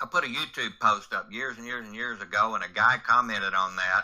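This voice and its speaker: Speaking at a moderate speed, a man talks with an American accent. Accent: Southern US accent, described as redneck. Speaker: non-dual spiritual teacher. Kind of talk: interview conversation.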